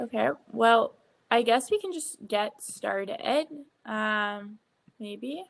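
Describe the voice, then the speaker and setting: A woman's fairly high voice at a very slow pace, with lively intonation and big swings in loudness. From Ontario. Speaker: student moderator. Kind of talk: session moderation. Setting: video call. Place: home room. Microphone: video call.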